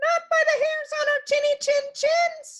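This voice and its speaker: A woman uses a put-on character voice at a fairly slow pace. It is squeaky and extremely high for a woman. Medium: read story. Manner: squealing, panicked.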